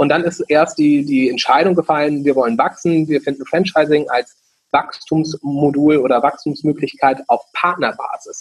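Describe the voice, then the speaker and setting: In a plain, everyday voice, a man speaks at a moderate pace with fairly high pitch, fairly even intonation, and very even loudness, the sound dry and close with no echo. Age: 20s. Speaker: franchise founder. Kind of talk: interview.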